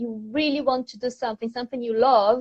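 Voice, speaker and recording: The woman speaks in a high-pitched voice. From Brazil. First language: Portuguese. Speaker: online English teacher. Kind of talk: interview.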